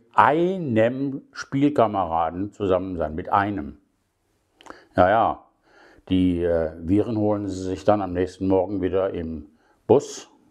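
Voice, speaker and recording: Against a quiet background, this voice moves at a very slow pace with lively intonation and long, frequent pauses. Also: man. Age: 70s. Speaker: podcaster. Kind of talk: casual monologue. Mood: critical, somewhat sarcastic. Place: home room. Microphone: phone near.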